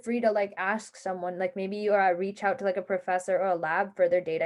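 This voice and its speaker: Her speech is fairly quick and at medium pitch for a woman. The background is quiet. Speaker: hackathon workshop presenter. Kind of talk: online workshop lecture. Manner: fast.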